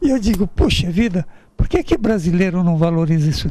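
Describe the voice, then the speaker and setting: A man's dark, mellow tone at a high pitch, with very wide pitch swings. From northern Italy, moved to Brazil at 12. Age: 70s. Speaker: illustrator and visual artist. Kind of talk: interview.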